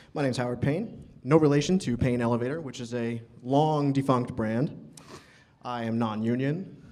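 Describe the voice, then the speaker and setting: At a moderate pace, a voice with an American accent shows big swings in loudness, with audible room echo. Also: man. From New York City. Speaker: elevator mechanic. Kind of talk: conference talk. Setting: stage with audience.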